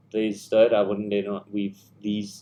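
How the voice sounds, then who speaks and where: A man is speaking. His pitch sits fairly low. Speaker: video editor. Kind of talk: tutorial. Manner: fast.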